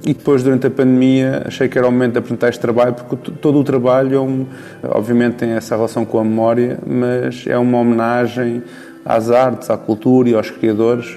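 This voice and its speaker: Against noticeable background noise, a man talks at a fairly quick pace with medium pitch and fairly even intonation. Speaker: artist and photographer. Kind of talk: interview. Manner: halting.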